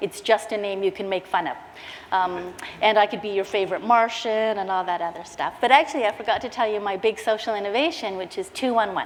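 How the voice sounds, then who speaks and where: Over noticeable background noise, a woman speaks at a very fast pace with medium pitch and ordinary pitch variation. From Canada. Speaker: social innovation leader. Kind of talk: conference talk. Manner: animated.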